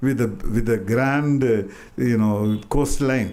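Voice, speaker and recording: The voice has a dark, mellow tone and ordinary pitch variation. It moves at a very slow pace with an Indian accent. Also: man. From Madurai, India. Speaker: artist and writer. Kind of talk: public talk. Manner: hesitant, reminiscing.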